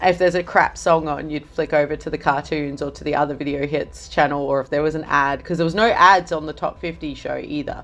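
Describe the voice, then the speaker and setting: A woman's very deep, low voice at a fairly quick pace, with fairly even intonation, hardly any pauses and big swings in loudness. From Australia, Adelaide. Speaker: music journalist. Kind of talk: casual chat.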